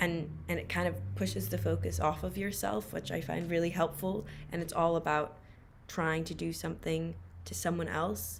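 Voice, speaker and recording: With audible room echo, a woman speaks at a moderate pace in a very deep, low, somewhat breathy voice with very wide pitch swings. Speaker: stage actor. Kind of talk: roundtable discussion. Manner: halting, many fillers.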